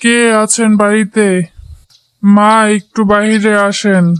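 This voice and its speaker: A woman performs a cartoonish character voice. Her intonation is monotone and flat. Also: medium pitch for a woman. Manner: humble, pleading.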